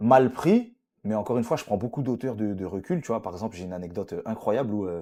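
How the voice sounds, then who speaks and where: A dark, mellow tone at a very fast pace, with ordinary pitch variation, on a very clean recording with a silent background. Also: man, medium pitch for a man. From France, Paris suburbs. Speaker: presenter and podcaster. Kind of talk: interview. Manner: hesitant, many fillers.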